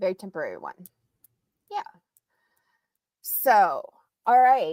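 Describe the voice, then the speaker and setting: A woman speaks at a fairly slow pace with an American accent. The sound is dry and close, with no echo. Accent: central Ohio with a touch of the South. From central Ohio. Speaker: private investigator. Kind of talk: livestream chat. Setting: livestream.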